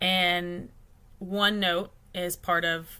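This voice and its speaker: A woman's fairly low, bright, sharp voice with a Texan accent and monotone, flat intonation. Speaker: client account consultant. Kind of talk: business livestream talk. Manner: casual with many fillers.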